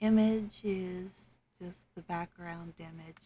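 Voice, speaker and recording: A soft-spoken woman talks at a very slow pace. Her voice is somewhat breathy and fairly low in pitch. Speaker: tabletop game master. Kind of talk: software tutorial narration.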